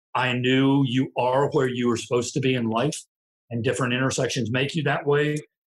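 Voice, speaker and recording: Somewhat breathy and medium in pitch, this man's voice carries an American accent and a monotone, flat intonation. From US small town. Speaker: retired marine sergeant major. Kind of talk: interview conversation. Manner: reflective storyteller.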